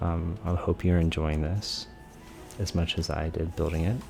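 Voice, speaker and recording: Music plays in the background as a man talks at a moderate pace. His pitch is very deep and low. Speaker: gaming YouTuber. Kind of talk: tutorial commentary. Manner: whispering; soft-spoken.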